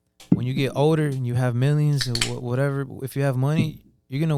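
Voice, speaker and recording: With music in the background, a man speaks fairly quickly at a fairly high pitch. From Atlanta, Georgia. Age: 20s. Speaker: aspiring musician. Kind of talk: casual interview.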